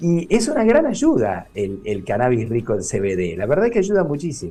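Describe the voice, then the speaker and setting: Speaking with a Rioplatense accent, a man keeps a moderate pace at a medium pitch while his voice swings very widely. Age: 60s. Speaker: neurologist. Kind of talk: radio interview. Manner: hesitant, filler-heavy.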